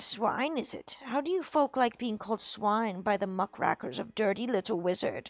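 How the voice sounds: Lively intonation in a natural reading voice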